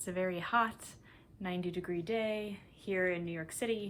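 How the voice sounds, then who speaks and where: A woman with an American accent and a plain, everyday voice speaks at medium pitch and a moderate pace, her intonation fairly even. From US Midwest, Minnesota. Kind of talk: casual vlog monologue. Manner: relaxed, frequent ums.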